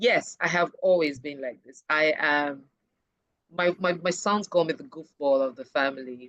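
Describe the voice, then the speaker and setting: With a very deep, low pitch, a woman speaks at a moderate pace in an animated tone, her intonation lively and her loudness swinging widely. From Nigeria, Urhobo, Delta State. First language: Urhobo. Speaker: HR professional. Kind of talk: interview.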